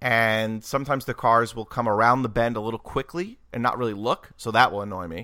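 A man talks at a fairly quick pace with hardly any pauses, in an animated, bright and sharp tone. The recording is very clean, with a silent background. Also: medium pitch for a man. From Italian-American family. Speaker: podcast co-host. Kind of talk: casual chat.

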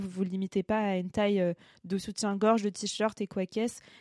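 On a very clean recording with a silent background and a dry, close sound with no echo, a woman speaks at a medium pitch and a fairly quick pace, her dark, mellow tone held in a monotone, flat intonation. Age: 20s. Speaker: podcast host. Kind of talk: solo podcast monologue. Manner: hesitant with frequent fillers.

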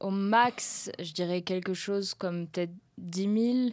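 A woman speaks at a medium pitch with fairly even intonation and a very slow pace. The recording is very clean, with a silent background. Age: 20s. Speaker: professional guitarist. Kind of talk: casual interview.

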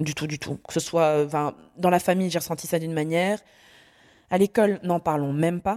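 In a very clean recording with a silent background and a dry, close sound with no echo, a woman speaks at a moderate pace in a fairly low pitch. Her intonation is fairly even, broken by long, frequent pauses. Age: young. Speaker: adoptee sharing her story. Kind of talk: personal testimony in conversation.

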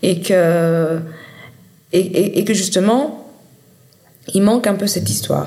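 A woman speaks at a very slow pace with ordinary pitch variation and long, frequent pauses. Audible room echo and noticeable background noise surround her. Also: medium pitch for a woman. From Belgium, schooled in Africa until primary. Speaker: podcast host. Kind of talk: casual chat. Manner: halting.

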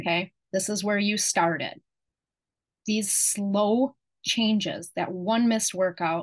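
Over a quiet background, a woman talks with an ordinary speaking voice. Her pitch is medium and her intonation fairly even. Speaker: health coach. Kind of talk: coaching talk to a group. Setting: video call. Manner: warm, encouraging.

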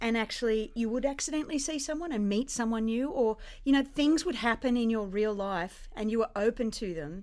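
With an Australian accent, a woman speaks at a fairly quick pace with hardly any pauses, her fairly high pitch moving in lively intonation. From India and Australia. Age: 40s. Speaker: comedian. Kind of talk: casual chat.

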